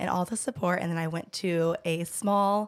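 With a Southern US accent, a woman speaks at a medium pitch. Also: very clean recording, silent background. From Georgia, US South. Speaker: pelvic floor physical therapist. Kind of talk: casual chat.

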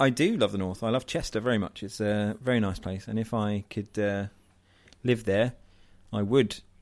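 A man speaks at a moderate pace with a fairly low pitch and fairly even intonation. He has a plain, everyday voice. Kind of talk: casual chat.

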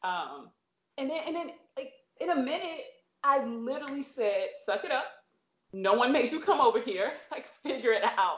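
A woman with a high pitch speaks in an animated tone, her pitch swinging very widely. Her pace is moderate, with long, frequent pauses. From US Midwest, St. Louis, Missouri. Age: 30s. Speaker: former pro basketball player and coach. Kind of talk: casual interview. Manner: animated, laughs often.

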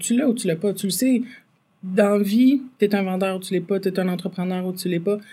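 A woman's medium-pitched, dark, mellow and somewhat breathy voice at a fairly quick pace, with ordinary pitch variation on a very clean recording with a silent background. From Quebec, Farnham area. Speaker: entrepreneur, bakery owner. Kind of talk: casual interview.

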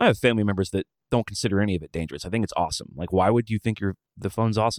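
A man with an Alabama accent and fairly low pitch, in a very clean recording over a silent background, with a dry, close sound and no echo. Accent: Southern US (Alabama). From rural Alabama. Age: 40s. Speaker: touring musician and podcast host. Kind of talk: casual interview conversation.

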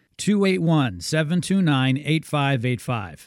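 A man with a normal speaking voice, fairly high in pitch, with lively intonation. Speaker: radio host. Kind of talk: infomercial-style sales pitch. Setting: radio studio. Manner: pushy, upbeat, repeating the phone number.

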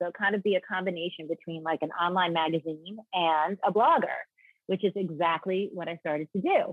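An unremarkable speaking voice with an American accent, fairly quick in pace and fairly even in intonation. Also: woman, fairly low pitch for a woman. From New York. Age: 50s. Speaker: lifestyle blogger and influencer. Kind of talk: casual interview.

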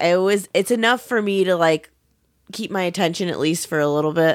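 A woman's ordinary speaking voice, fairly low in pitch, at a fairly quick pace with ordinary pitch variation, in a very clean recording against a silent background. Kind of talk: casual chat.

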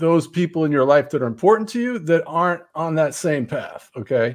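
At a moderate pace, a man with a fairly high pitch talks with a slight New Jersey accent. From New Jersey, Montclair. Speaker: author. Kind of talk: casual chat.

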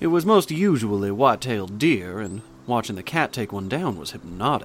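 The clip is plain reading aloud.

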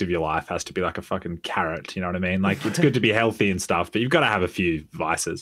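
Over a silent background in a very clean recording, a man speaks at a very fast pace. He has a fairly low pitch and an Australian accent. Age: 20s. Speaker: gaming YouTuber. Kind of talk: casual chat.

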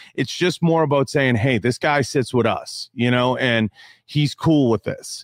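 In an unremarkable speaking voice, a man talks at a fairly slow pace with medium pitch. His loudness stays very even, and the sound is dry and close with no echo. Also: ordinary pitch variation. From Italian-American. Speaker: podcaster and YouTuber. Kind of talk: casual chat.

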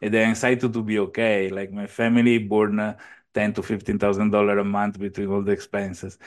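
A man with an Italian accent, fairly low in pitch, monotone and flat in intonation, at a fairly quick pace against a quiet background. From Italy, near Venice. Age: 40s. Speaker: entrepreneur. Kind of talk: interview. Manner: halting.

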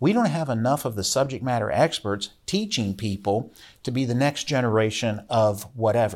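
In a very clean recording with a silent background, a man with an American accent and a plain, everyday voice speaks at a moderate pace, with medium pitch and ordinary pitch variation. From Virginia mountains, Rockbridge County. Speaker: state legislator. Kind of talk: interview conversation. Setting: studio.

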